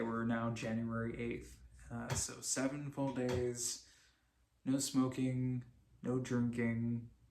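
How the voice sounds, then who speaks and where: In a room with audible echo, a man speaks at a very slow pace in monotone, flat intonation. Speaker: vlogger. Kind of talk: personal video diary. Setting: talking to a camera, late at night. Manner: halting, repeats words.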